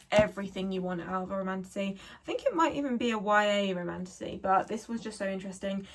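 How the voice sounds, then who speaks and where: A woman speaks with a southern English accent at a medium pitch. Her pace is very fast. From South of England. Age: 20s. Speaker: book reviewer. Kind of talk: casual talk to camera. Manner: enthusiastic.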